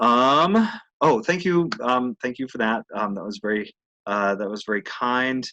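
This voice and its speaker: At a fairly slow pace, a man of medium pitch talks with lively intonation and a bright, sharp tone, in a dry, close sound with no echo. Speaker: clinical social worker and program director. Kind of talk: webinar presentation with Q&A. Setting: online webinar with screen sharing. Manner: hesitant, many fillers.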